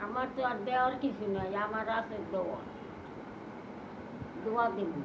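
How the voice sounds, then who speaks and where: Noticeable background noise sits behind a voice with fairly even intonation. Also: woman, fairly high pitch for a woman. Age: 80s+. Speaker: grandmother. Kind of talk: blessing prayer.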